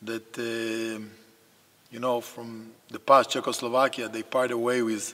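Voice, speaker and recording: A man speaks at a moderate pace with an Israeli accent, his intonation flat and monotone, over noticeable background noise. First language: Hebrew. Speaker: basketball coach. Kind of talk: interview. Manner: halting.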